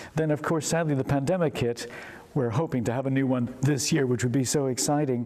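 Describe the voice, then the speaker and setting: A man with an American accent talks while noticeable background noise carries on behind him. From United States. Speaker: vicar. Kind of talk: interview.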